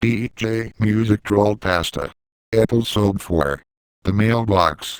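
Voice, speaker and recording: This voice moves at a fairly slow pace, recorded with a dry, close sound and no echo. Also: man, fairly low pitch for a man. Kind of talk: episode title announcer. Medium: read story.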